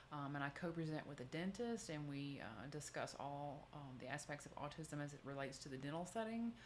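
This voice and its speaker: A woman speaks at a fairly quick pace. Her voice carries an audible room echo. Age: 50s. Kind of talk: talk answering audience questions. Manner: fast.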